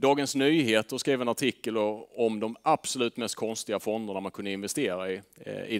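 A man speaks at a fairly quick pace in a fairly low pitch, with ordinary pitch variation over a quiet background. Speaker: fund manager; presenter. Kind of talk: presentation to audience. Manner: hesitant fillers. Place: meeting room. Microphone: headset.

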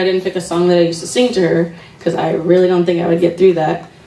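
A woman with a fairly low pitch talks at a fairly quick pace, with audible room echo and light background noise. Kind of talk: eulogy speech. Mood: emotional, grieving. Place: hall. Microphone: handheld.

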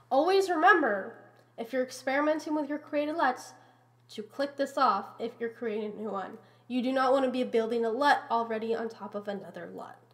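A woman speaks at a very fast pace in a high pitch, her intonation lively and her loudness swinging widely. Noticeable background noise runs underneath. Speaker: Houdini VFX tutorial maker. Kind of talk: software tutorial narration.

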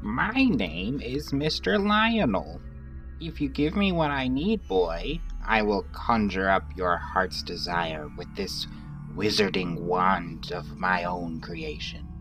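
Loud music backs a put-on character voice that cackles at a fairly slow pace. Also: man, very deep, low pitch for a man. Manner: mad, cackling.

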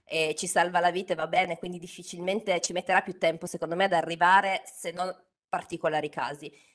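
Over a quiet background, a woman with a Turin accent talks at a fairly quick pace, her fairly low voice flat and monotone. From Turin, northern Italy; northern Italy. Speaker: LinkedIn trainer and author. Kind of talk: webinar talk. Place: home room. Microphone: studio mic.

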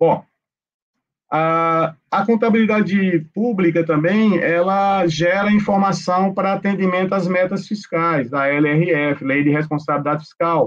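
Speaking with a high pitch, a man keeps very even loudness and ordinary pitch variation at a fairly slow pace. Behind him the background is quiet. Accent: Pernambuco. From Recife, Pernambuco, Brazil. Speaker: accounting professor and public auditor, lecturer; accounting professor, lecturer. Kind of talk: online lecture. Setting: video call live stream. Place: home room. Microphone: webcam.

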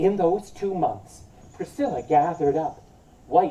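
The speaker is doing plain reading aloud.

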